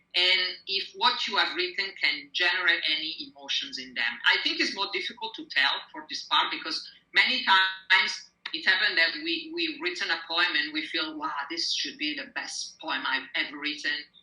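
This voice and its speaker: A woman with an Italian accent speaks with very wide pitch swings amid audible room echo. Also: medium pitch for a woman, moderate pace. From Italy. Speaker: poet. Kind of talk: interview. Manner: hesitant, with fillers.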